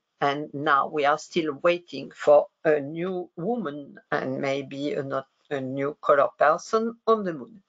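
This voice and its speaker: A woman speaks at a very slow pace, with hardly any pauses. Her pitch is very deep and low, with ordinary variation. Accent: French. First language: French. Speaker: researcher. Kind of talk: lecture. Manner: halting.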